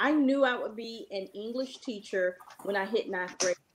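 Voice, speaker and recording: Speech from a woman with an American accent. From Richmond, Virginia. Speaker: English teacher. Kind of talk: panel discussion.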